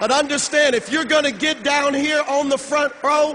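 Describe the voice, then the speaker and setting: Over noticeable background noise, a man talks in an animated tone at an extremely high pitch. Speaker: network marketing distributor giving convention speech. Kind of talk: motivational convention speech. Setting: stage with audience.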